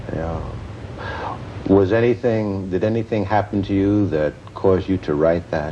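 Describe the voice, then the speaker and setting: A man's fairly low voice at a moderate pace, with ordinary pitch variation, long, frequent pauses and noticeable background noise. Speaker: TV interviewer. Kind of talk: TV interview questions.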